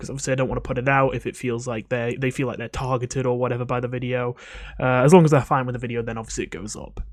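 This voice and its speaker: A man speaks quietly at medium pitch. His intonation is monotone and flat. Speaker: video game coach and YouTuber. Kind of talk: casual commentary to camera. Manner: quiet, voice kept down.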